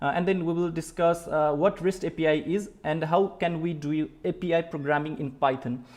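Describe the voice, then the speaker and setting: With a Nepali accent, a man speaks in a high pitch at a moderate pace, his intonation fairly even and hardly any pauses breaking his speech. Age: 20s. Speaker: programming teacher. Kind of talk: live-stream tutorial. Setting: live stream. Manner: halting, many filler words.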